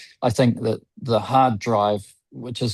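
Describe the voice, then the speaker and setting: Over a quiet background, a man of medium pitch speaks with fairly even intonation in a plain, everyday voice. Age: 60s. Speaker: window cleaning business owner. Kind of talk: podcast interview.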